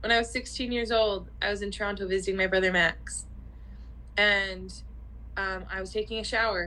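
A woman at a moderate pace with long, frequent pauses. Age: 30s. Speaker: podcast co-host. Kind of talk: casual chat.

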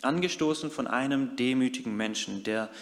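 A man at a moderate pace. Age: 30s. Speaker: youth worker and lay preacher. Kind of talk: sermon.

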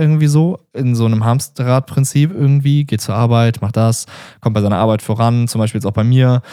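This man has a dark, mellow tone at a medium pitch. The recording is very clean, with a silent background. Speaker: podcast host. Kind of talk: solo podcast monologue. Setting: standing while recording. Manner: casual, filler-heavy; stumbling.

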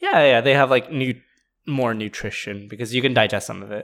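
With long, frequent pauses and big swings in loudness, a man speaks at a moderate pace and medium pitch. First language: not English. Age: 20s. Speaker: podcast co-host. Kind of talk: casual chat.

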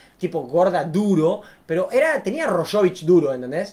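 In a Rioplatense accent, the speaker sounds animated, moving at a moderate pace with very wide pitch swings. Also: man. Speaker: YouTuber. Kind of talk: casual storytelling to camera.

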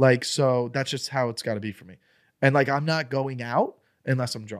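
In a very clean recording with a silent background, a man with a plain, everyday voice and medium pitch speaks at a fairly quick pace. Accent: American. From Florida. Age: 30s. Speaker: comedian. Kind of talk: casual chat.

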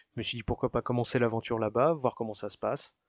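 The speech moves at a fairly quick pace, with a dry, close sound, no echo and a quiet background. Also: man. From France, Paris region (Yvelines). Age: 30s. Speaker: working-holiday immigrant. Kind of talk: interview testimony. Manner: hesitant, frequent filler euh.

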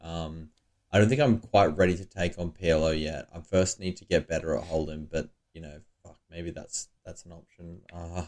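With an Australian accent, a man speaks at a very deep, low pitch and a moderate pace, his intonation fairly even. His loudness swings widely in a very clean recording with a silent background. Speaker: poker player and podcast co-host. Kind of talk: casual chat. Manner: laughs often.

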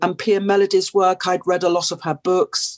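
A woman with a British accent speaks at a moderate pace and medium pitch, with fairly even intonation and a dry, close sound with no echo. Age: 60s. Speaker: addiction and trauma therapist. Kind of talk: interview. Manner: hesitant, many fillers.

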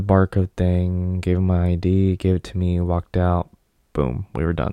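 A man speaks at a fairly slow pace with a very deep, low pitch and a dark, mellow tone. The sound is dry and close with no echo. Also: very clean recording, silent background. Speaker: podcast host. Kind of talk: casual monologue. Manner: rambling with many fillers.

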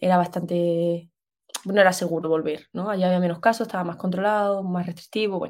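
The speech moves at a very fast pace in monotone, flat intonation. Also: woman, medium pitch for a woman. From Spain, Extremadura. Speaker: architect. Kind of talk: casual chat.

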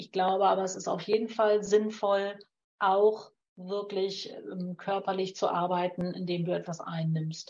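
A woman talks at a fairly slow pace with a medium pitch. Her intonation is monotone and flat. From Lower Saxony, northern Germany. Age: 50s. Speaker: naturopath and homeopath. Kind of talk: advice in call-in show.

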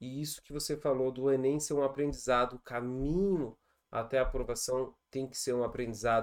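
Recorded very cleanly against a silent background, a man talks in an animated tone at a moderate pace. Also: medium pitch for a man. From Brazil, Rio Grande do Sul. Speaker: podcast host, chemistry teacher. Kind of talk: casual interview.

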